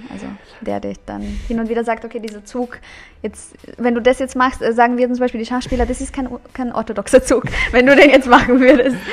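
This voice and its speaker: In a Bulgarian accent, a woman with a high pitch talks at a fairly quick pace with monotone, flat intonation, long, frequent pauses, and big swings in loudness against noticeable background noise. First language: Bulgarian (speaking German). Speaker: author and social media creator. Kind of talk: casual chat.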